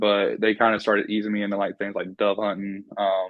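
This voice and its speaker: This man speaks with a North Carolina accent. His pitch sits fairly low. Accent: Southern US (North Carolina). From North Carolina, Piedmont near Raleigh. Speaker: hunter, wildlife management student. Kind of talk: casual interview.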